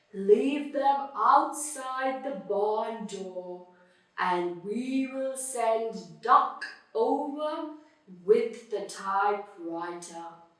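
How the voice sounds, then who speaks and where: In a put-on character voice, a woman speaks at a very slow pace and a fairly high pitch with a slight echo. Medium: read story.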